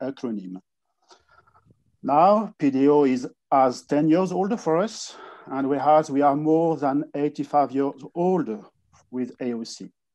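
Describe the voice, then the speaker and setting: The voice has a French accent and a dark, mellow tone. Its pitch variation is ordinary. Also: man. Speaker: wine industry association director. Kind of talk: conference presentation. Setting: online conference. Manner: halting with frequent fillers.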